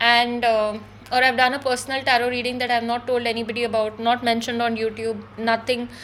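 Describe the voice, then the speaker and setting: A woman's high-pitched voice, fairly quick in pace, with monotone, flat intonation. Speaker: spiritual YouTuber, psychic. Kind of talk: unscripted monologue. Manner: fast; hesitant, many fillers.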